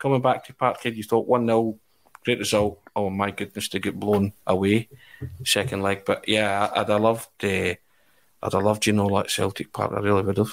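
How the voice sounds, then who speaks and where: A man with a Scottish accent, monotone and flat in intonation, at a moderate pace, in a very clean recording with a silent background. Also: fairly low pitch for a man. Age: 40s. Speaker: football journalist. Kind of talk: casual chat.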